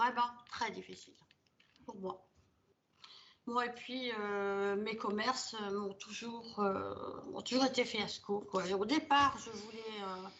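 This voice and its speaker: A woman's fairly high voice at a very slow pace, with long, frequent pauses, fairly even intonation, and big swings in loudness. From Belgium. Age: 70s. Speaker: hypnosis session client. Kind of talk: personal testimony. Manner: hesitant, many filler sounds.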